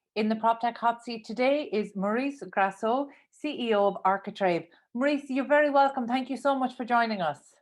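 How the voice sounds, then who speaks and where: A woman with a Cork accent, fairly high-pitched, at a fairly quick pace, with ordinary pitch variation, big swings in loudness and a quiet background. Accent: Irish (Cork). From Ireland, Cork. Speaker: radio show host. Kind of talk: interview.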